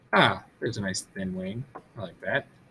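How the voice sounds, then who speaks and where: A man's speech comes through with noticeable background noise. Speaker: teacher. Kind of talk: tutorial.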